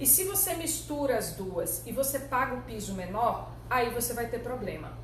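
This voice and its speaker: A woman speaks in an animated tone at a moderate pace. There is noticeable background noise. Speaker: labor lawyer and teacher. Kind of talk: live online lecture.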